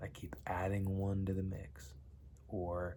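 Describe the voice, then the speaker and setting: A quiet, somewhat breathy voice with a dark, mellow tone at a very slow pace, with audible room echo. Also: man. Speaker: vlogger. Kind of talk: casual vlog monologue. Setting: home basement at night. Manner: quiet, kept low.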